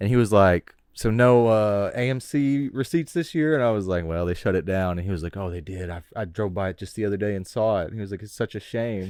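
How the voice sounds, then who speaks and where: In an ordinary speaking voice, a man with a fairly low pitch talks at a fairly quick pace with ordinary pitch variation and hardly any pauses, on a very clean recording with a silent background. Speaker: podcast co-host. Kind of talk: casual chat.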